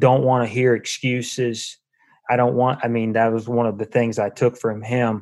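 A man with an American accent, medium pitch. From Virginia, US South. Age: 50s. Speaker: college baseball coach. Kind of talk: interview. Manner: halting, frequent repetitions.

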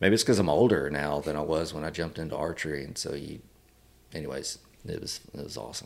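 With a Texan accent, a man talks at a fairly quick pace in a very deep, low pitch, his intonation fairly even. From Texas, Wharton County. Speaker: conservation advocacy director. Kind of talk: casual interview. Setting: sit-down after day on the water.

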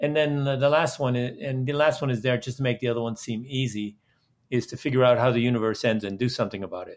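Against a quiet background, someone with a Dutch accent speaks at a very fast pace with fairly even intonation. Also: man, medium pitch for a man. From Netherlands. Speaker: video game entrepreneur and clean energy activist. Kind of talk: interview.

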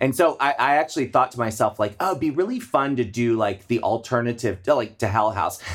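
With hardly any pauses, a man with an American accent and a normal speaking voice talks at a fairly quick pace and medium pitch, with ordinary pitch variation. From Maryland, US. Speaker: drag performer and event producer. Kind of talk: casual chat.

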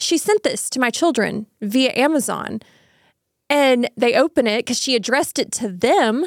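On a very clean recording with a silent background, a woman speaks high-pitched with lively intonation and a slight Southern US accent, the sound dry and close with no echo. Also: moderate pace. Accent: sweet little Southern. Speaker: parent. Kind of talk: casual chat.

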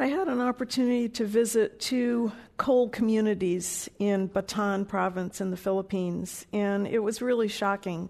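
A woman with a plain, everyday voice speaks at a moderate pace and fairly high pitch, with hardly any pauses over a quiet background. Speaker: public health center director. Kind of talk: panel discussion before a live audience. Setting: stage with audience.

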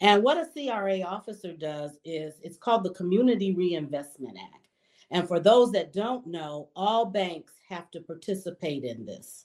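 In an ordinary speaking voice, a woman talks at a medium pitch with lively intonation and big swings in loudness. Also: fairly slow pace. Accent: American. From Detroit, Michigan. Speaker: banker. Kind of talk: interview.

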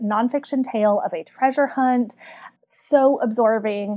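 With a Southern US accent, a woman speaks at a fairly high pitch. Her pitch varies in an ordinary way. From Kentucky, US South. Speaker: book club community manager. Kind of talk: casual chat.

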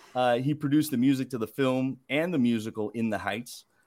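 Medium pitch, moderate speed and lively intonation in a man's voice, a plain, everyday voice. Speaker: food editor, podcast host. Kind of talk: casual interview.

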